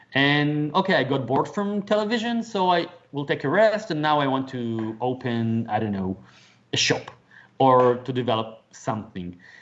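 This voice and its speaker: At a moderate pace, a man with a non-native accent speaks at a fairly high pitch. His voice makes very wide pitch swings. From Israel. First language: Hebrew. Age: 40s. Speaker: author and motivational speaker. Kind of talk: interview conversation. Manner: halting, repeats words.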